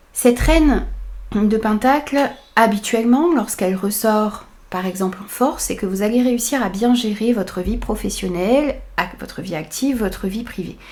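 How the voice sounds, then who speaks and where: A woman with a plain, everyday voice speaks at a fairly high pitch and a moderate pace, with ordinary pitch variation. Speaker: tarot reader. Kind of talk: tarot reading.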